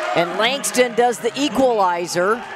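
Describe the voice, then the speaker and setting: Amid noticeable background noise, a woman speaks in an animated, excited tone with ordinary pitch variation. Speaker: basketball play-by-play announcer. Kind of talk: live sports commentary.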